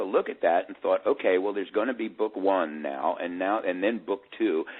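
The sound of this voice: Pitch varies in an ordinary way as the speech keeps a moderate pace. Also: man.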